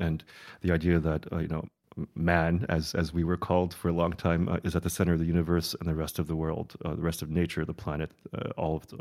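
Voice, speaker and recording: The voice carries a Midwestern accent with monotone, flat intonation at a fairly quick pace. The recording is very clean, with a silent background. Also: man. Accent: American, Midwestern. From US Midwest, Chicago. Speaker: design curator and institute director. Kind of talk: interview conversation. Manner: halting, many fillers and repetitions.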